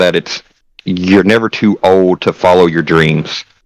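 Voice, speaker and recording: A man with a Southern US accent talks at a fairly slow pace. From Tennessee. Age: 30s. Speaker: streamer. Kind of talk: casual chat.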